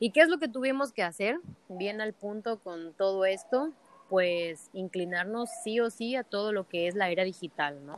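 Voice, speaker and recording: A woman's medium-pitched voice at a very slow pace, the sound dry and close with no echo. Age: 20s. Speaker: entrepreneur. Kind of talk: interview.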